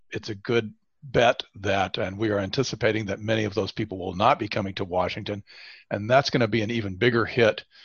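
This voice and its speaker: A man talks at a moderate pace with fairly even intonation. His is an unremarkable speaking voice, fairly low in pitch. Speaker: state chief economist. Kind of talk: professional forecast discussion.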